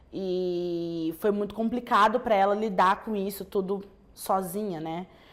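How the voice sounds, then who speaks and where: A woman at a medium pitch, with fairly even intonation and a fairly slow pace. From Brazil, raised from age 3 (born in Angola). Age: 20s. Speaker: teacher giving a personal testimony. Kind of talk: testimony. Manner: halting, many fillers and restarts.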